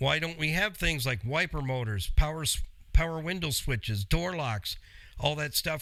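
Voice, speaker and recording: A man's fairly high voice with a bright, sharp tone, ordinary pitch variation and a fairly slow pace. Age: 60s. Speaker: radio host, car mechanic. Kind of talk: call-in style Q&A show. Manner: animated.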